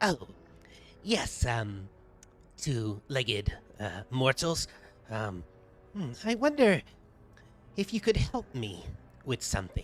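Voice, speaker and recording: A man puts on a character voice at a medium pitch. He leaves long, frequent pauses. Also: fairly slow pace. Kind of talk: fantasy game-master voice acting. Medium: actual play. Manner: halting, stammering, full of ums; pondering, distracted.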